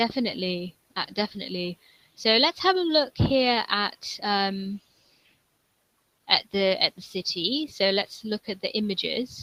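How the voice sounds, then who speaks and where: In a London accent, a woman speaks at a fairly slow pace with a bright, sharp tone, lively intonation and a medium pitch, recorded with a dry, close sound and no echo. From England, London. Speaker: online English tutor. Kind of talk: online English conversation lesson.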